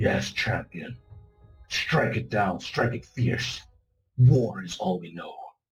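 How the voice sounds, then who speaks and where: A man's growling put-on character voice at medium pitch, fairly slow and with lively intonation, over faint music in the background. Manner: fierce.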